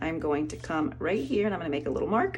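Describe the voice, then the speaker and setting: Audible room echo surrounds a woman as she talks. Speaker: art teacher. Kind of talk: tutorial. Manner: fast.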